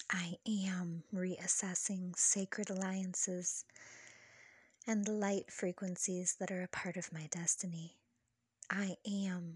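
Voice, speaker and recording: Against a quiet background, a voice with a soothing, calm tone speaks at a very slow pace. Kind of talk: guided meditation affirmations. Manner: soothing, slow, calm.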